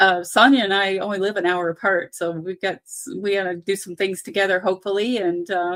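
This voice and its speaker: Speaking at a moderate pace with a medium pitch and fairly even intonation, the woman has an unremarkable speaking voice. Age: 60s. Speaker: knitting YouTuber. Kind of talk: casual chat. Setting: live stream.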